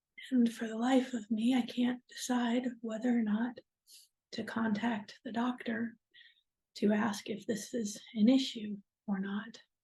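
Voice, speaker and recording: Her voice sits at a fairly high pitch with a dark, mellow tone. This woman speaks at a fairly slow pace in monotone, flat intonation. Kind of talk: personal vlog talk to camera. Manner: halting, slow.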